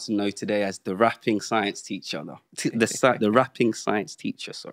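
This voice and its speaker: A quiet background behind a man's moderate-paced speech. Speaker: podcast host. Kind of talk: host introduction. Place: studio.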